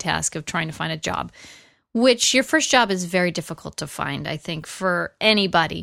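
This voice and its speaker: A woman speaks in a Californian accent at a medium pitch with ordinary pitch variation. The recording is very clean, with a silent background. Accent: Californian American. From US West Coast, San Fernando Valley, Los Angeles. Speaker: film editor. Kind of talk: interview. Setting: at home.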